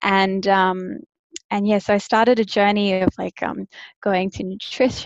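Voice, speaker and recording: A woman with an Australian accent, medium pitch, and moderate pace, in a dry, close sound with no echo. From Australia, Brisbane. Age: 30s. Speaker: online coach and personal trainer. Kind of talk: casual interview.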